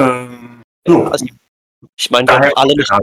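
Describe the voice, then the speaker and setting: A man has an ordinary speaking voice with fairly even intonation and a moderate pace. The sound is dry and close, with no echo. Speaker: role-playing game editor. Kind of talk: casual chat. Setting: audio-only call without camera. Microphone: too quiet.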